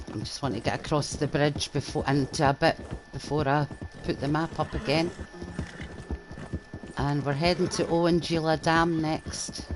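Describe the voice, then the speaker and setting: With a Scottish accent and a very deep, low pitch, a woman speaks at a moderate pace with fairly even intonation and long, frequent pauses against noticeable background noise. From Scotland. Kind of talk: casual gameplay commentary.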